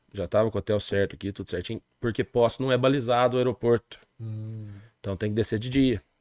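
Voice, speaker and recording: Against a quiet background, a man speaks very fast at a medium pitch with fairly even intonation, the sound dry and close with no echo. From southern Minas Gerais, Brazil. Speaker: music event producer. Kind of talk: casual interview.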